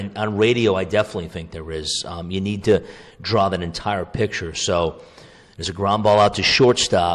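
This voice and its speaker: The loudness swings widely at a moderate pace. It is a normal speaking voice. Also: man, fairly low pitch for a man. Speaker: radio play-by-play baseball broadcaster. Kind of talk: podcast interview answer, conversational.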